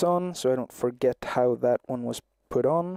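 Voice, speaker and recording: Soft-spoken and at medium pitch, a man talks with fairly even intonation in a dry, close sound with no echo. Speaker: livestreamer crafting a puppet. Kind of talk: casual live-stream commentary while crafting. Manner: soft-spoken, talking quietly.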